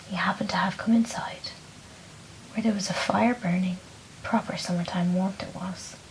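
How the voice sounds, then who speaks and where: Soft-spoken and at a moderate pace, the speaker leaves long, frequent pauses over noticeable background noise. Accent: Irish. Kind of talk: bedtime story reading.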